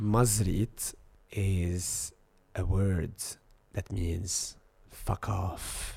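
A man's dark, mellow, somewhat breathy voice at a fairly low pitch, with monotone, flat intonation, a very slow pace and long, frequent pauses. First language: Arabic. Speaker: social media influencer. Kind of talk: casual chat.

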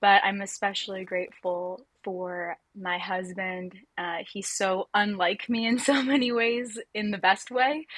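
A woman's plain, everyday voice at a medium pitch, fairly slow with hardly any pauses, over a quiet background. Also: ordinary pitch variation. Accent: American. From Southern California. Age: 20s. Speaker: nonprofit worker sharing personal story. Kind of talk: personal testimony interview.

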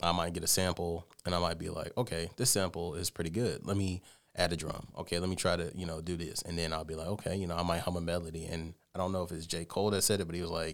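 Recorded very cleanly against a silent background, a speaker with an American accent talks at a very fast pace with fairly even intonation. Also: man. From Columbus, Georgia. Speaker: rapper and producer. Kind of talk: radio interview.

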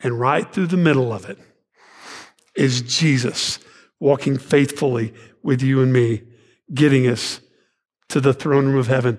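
A man with a Texan accent speaks at a fairly slow pace in a fairly high pitch. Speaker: pastor. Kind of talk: sermon. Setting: church.

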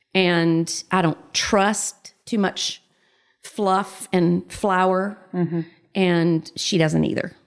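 With a Southern US accent, a woman speaks at a very slow pace and medium pitch. Her intonation is monotone and flat, broken by long, frequent pauses. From US South. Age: 50s. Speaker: mother, guest. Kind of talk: casual interview.

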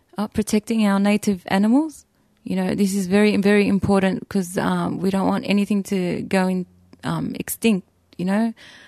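A woman with an Australian accent speaks at a moderate pace in a dark, mellow tone with fairly even intonation, the sound dry and close with no echo against a quiet background. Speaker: hunter. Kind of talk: interview.

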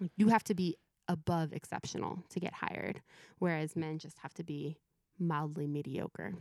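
A woman speaks in an ordinary speaking voice with an American accent, her pitch fairly low with ordinary pitch variation, at a moderate pace, in a dry, close sound with no echo. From Southern California. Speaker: youth pastor. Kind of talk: casual interview. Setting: remote call from home.

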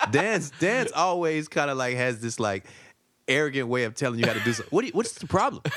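Speaking very fast in a Southern US accent, a man with a fairly high pitch swings his voice very widely up and down. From US South. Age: 40s. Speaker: stand-up comedian. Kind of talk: casual chat. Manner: laid-back.

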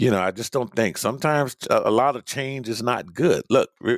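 The recording is dry and close, with no echo. A man talks at a moderate pace in an animated tone. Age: 50s. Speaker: sports radio host. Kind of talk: sports talk monologue. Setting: home studio.

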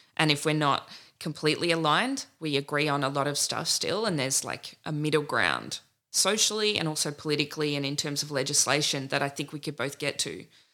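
On a very clean recording with a silent background, a woman with an Australian accent talks at a fairly quick pace, her very deep, low pitch carrying a bright, sharp tone and ordinary pitch variation. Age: 30s. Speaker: political candidate. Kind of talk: interview.

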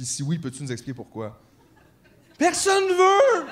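Noticeable background noise sits behind this recording. A man speaks at a moderate pace with lively intonation. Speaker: podcast co-host. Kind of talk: live podcast with audience. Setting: stage with audience.

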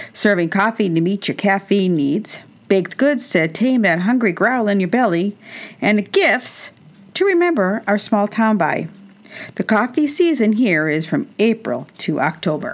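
Speaking at a fairly slow pace, a woman uses a medium pitch with very wide pitch swings. She has an American accent. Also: very even loudness. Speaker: radio host. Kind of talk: scripted intro and sponsor read. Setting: studio.

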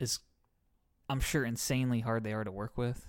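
In a very clean recording with a silent background, a man has a normal speaking voice with a medium pitch and fairly even intonation. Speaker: podcast co-host. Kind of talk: casual banter, comedic chat. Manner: joking, playful.

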